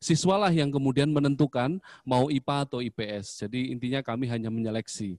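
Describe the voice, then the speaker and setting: With ordinary pitch variation, a man speaks against a quiet background in a dry sound with no echo. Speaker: school principal; presenter. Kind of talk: information session presentation. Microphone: voice sounds too quiet; handheld.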